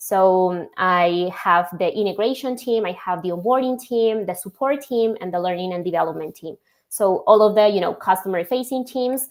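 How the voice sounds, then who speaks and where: A woman's medium-pitched voice at a moderate pace, with ordinary pitch variation and hardly any pauses. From Colombia. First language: Spanish. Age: young. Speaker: logistics software executive. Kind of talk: podcast interview.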